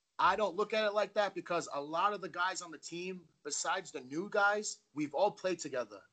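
A man talks with an American accent. His pace is moderate and his pitch varies in an ordinary way. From Fall River, Massachusetts. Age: 20s. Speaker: semi-pro football lineman. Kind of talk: casual interview.

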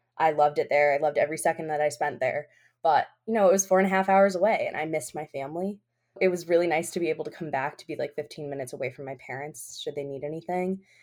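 Very fast and very deep, a woman's low voice shows ordinary pitch variation and big swings in loudness. The recording is very clean, with a silent background. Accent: American. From Albany, New York. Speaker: law student. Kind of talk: casual interview.

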